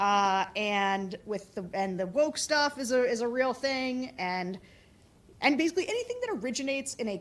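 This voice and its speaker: A loud woman talks at a fairly quick pace with a high pitch. Her intonation is lively. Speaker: political operative. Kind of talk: conference talk and Q&A. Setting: conference room with audience.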